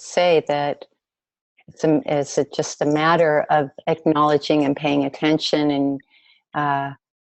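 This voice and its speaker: Her voice is very deep and low for a woman. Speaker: webinar host. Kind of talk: interview. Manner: halting.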